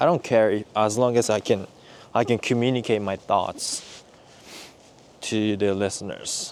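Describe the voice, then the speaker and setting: Speaking fairly slowly, a man with a Japanese accent has a fairly low pitch. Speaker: vlogger. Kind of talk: casual chat. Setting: outdoors. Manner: halting.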